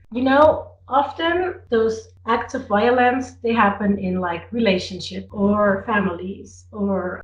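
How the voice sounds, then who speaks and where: Amid audible room echo, a woman with a somewhat breathy voice at medium pitch speaks at a very slow pace. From Switzerland, Zurich (German-speaking). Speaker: drag performer. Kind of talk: interview. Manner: halting with repetitions.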